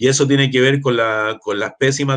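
A man at a very fast pace in a Chilean accent, medium in pitch, with a dry, close sound and no echo. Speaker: water rights activist and political candidate. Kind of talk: casual interview. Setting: online live stream. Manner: halting.

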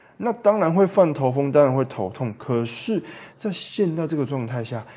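Medium in pitch and dark, mellow in tone, a man's voice moves at a moderate pace. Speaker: podcast host. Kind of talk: solo podcast monologue. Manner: animated.

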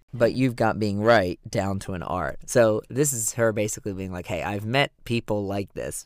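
This man has a plain, everyday voice with a fairly low pitch, ordinary pitch variation and a moderate pace, with hardly any pauses. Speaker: podcast host. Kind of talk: casual banter, music discussion podcast. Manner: joking, playful.

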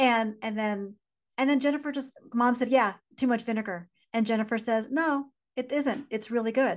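A woman talks in a plain, everyday voice at a fairly high pitch and a moderate pace. Her pitch variation is ordinary, and the background is quiet. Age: 40s. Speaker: podcast co-host, business coach. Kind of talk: casual chat.

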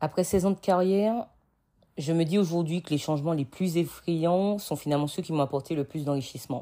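A woman's fairly low, dark and mellow voice with ordinary pitch variation and a fairly quick pace, on a very clean recording with a silent background. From Martinique. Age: 30s. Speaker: podcast host, entrepreneur. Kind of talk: personal storytelling monologue.

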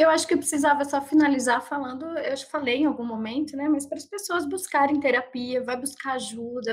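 A woman talks with ordinary pitch variation. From Sorocaba, interior of São Paulo, Brazil. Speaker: psychologist. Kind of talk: casual interview.

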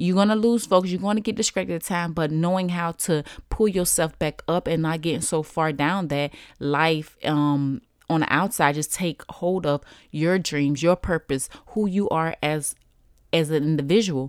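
On a very clean recording with a silent background, a woman speaks at a moderate pace, her fairly low pitch showing ordinary variation. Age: 30s. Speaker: podcast host. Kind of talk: casual monologue.

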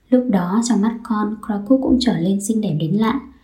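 Audible room echo carries a woman's voice as she talks at a moderate pace. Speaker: podcaster, exchange student. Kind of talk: scripted narration.

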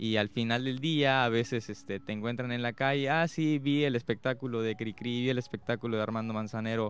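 On a very clean recording with a silent background, a man talks fairly quickly at a medium pitch with fairly even intonation. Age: 20s. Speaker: youth award winner, performing artist. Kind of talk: radio interview. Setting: radio studio. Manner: hesitant, many fillers.

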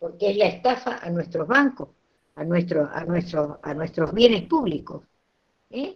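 Her voice is fairly low and somewhat breathy, with lively intonation. The woman speaks at a fairly slow pace, and her loudness swings widely. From Argentina, Santiago del Estero. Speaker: nutritionist and university lecturer. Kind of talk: interview talk, lecture-like. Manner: animated.

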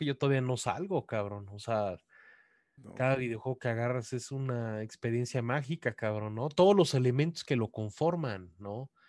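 In a normal speaking voice, a man talks at medium pitch and a moderate pace with lively intonation, in a very clean recording with a silent background and a dry, close sound with no echo. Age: 30s. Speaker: video game journalist. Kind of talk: casual chat.

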